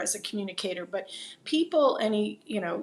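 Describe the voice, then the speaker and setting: A woman with a New Jersey accent speaks at a medium pitch and a fairly quick pace. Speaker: videocast host. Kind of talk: interview conversation.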